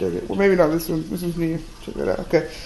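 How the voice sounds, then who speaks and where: Noticeable background noise surrounds a woman's speech. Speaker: face painter and video creator. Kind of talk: tutorial. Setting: home video recording. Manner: casual with frequent fillers.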